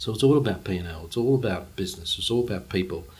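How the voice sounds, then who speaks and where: A man with an Australian accent speaks at a fairly quick pace. His voice is somewhat breathy, with ordinary pitch variation. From Australia, Brisbane. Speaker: charity CEO. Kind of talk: interview.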